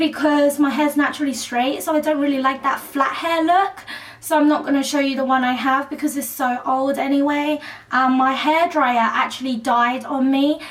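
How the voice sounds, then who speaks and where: A woman with a British accent speaks at a high pitch with fairly even intonation. Noticeable background noise is present. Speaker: beauty vlogger. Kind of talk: tutorial.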